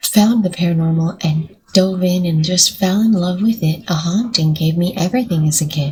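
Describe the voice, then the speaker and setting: Her tone is dark, mellow and somewhat breathy. This woman keeps a moderate pace with ordinary pitch variation. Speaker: paranormal reaction YouTuber. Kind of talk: casual reaction vlog chat. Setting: at home, recording early morning. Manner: soft-spoken.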